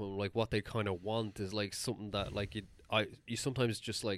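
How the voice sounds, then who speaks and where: The speaker has an Irish accent and a moderate pace. The recording is very clean, with a silent background. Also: man. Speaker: podcast co-host. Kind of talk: casual chat.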